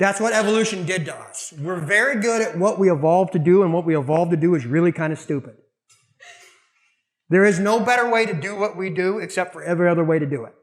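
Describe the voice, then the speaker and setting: A man with a Southern US accent, high in pitch, animated in tone, at a very fast pace with big swings in loudness. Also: ordinary pitch variation. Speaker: martial arts instructor. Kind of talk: lecture.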